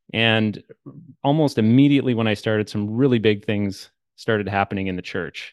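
A man with a Canadian accent uses a normal speaking voice at a fairly low pitch. The background is quiet, and the sound is dry and close with no echo. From Canada. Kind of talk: casual interview conversation.

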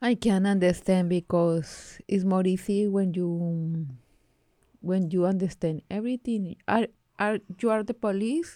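A woman with a strong Colombian accent, medium pitch, ordinary pitch variation and a dark, mellow tone, at a fairly slow pace, with very even loudness and a dry, close sound with no echo in a very clean recording over a silent background. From Colombia, Bogotá. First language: Spanish. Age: 30s. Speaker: community organization worker. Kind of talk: casual bilingual interview. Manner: laughs often, halting English.

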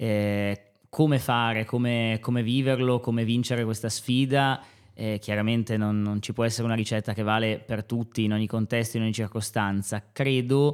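Monotone, flat intonation and a medium pitch mark a man talking at a moderate pace. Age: 30s. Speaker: high school teacher. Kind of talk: podcast interview. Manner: halting, many fillers.

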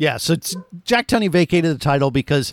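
A man with an American accent talks at a fairly quick pace with ordinary pitch variation, an unremarkable speaking voice in a dry, close sound with no echo on a very clean recording with a silent background. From Florida. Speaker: podcast host. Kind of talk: casual chat.

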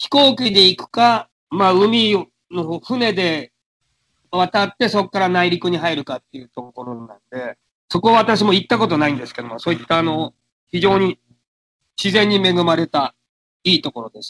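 A man's high-pitched voice, bright and sharp in tone, with very wide pitch swings, big swings in loudness, a moderate pace, and a dry, close sound with no echo. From Japan. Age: 60s. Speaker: radio sports presenter. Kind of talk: interview. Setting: internet call.

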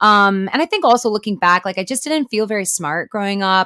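A woman with an ordinary speaking voice talks at a fairly quick pace and medium pitch with lively intonation, in a very clean recording with a silent background. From US Midwest, Chicago. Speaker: actor. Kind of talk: interview.

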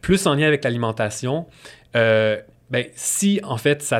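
A man in a Quebec accent talks with lively intonation in a very clean recording with a silent background. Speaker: nutritionist. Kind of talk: interview.

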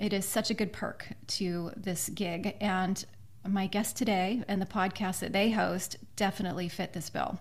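Somewhat breathy, a woman at medium pitch speaks with an American accent and fairly even intonation. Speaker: podcast host and author. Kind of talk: interview.

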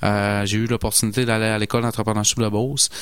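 In a Saguenay accent, a man talks with monotone, flat intonation. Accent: Saguenay Quebec French. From Saguenay, Quebec. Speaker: landscaping entrepreneur. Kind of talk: radio interview.

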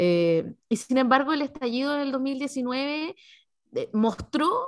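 A woman with a Chilean accent speaks high and with lively intonation. The recording is very clean, with a silent background. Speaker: podcast host. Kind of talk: interview.

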